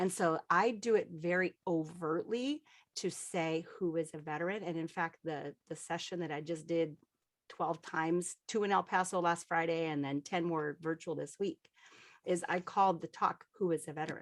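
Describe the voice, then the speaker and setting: Fairly even intonation carries speech at a moderate pace. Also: woman, fairly low pitch for a woman. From Colorado, US. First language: Spanish. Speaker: veteran aviator and children's book author. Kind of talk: panel discussion.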